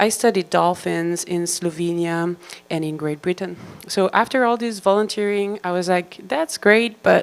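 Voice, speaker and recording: A woman in a Belgian accent, medium in pitch, at a moderate pace with ordinary pitch variation. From Belgium. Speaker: marine biologist. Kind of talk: lecture. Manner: animated.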